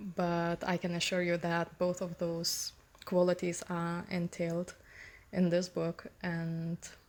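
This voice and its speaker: A woman with a non-native accent, very slow pace, and monotone, flat intonation. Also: fairly low pitch for a woman. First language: not English. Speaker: author. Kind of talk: personal reflection on own book. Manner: hesitant, many fillers.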